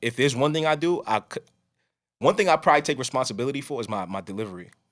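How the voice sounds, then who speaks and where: The recording is very clean, with a silent background. A man speaks at a very fast pace in a medium pitch with lively intonation. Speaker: podcast host. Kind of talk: casual chat.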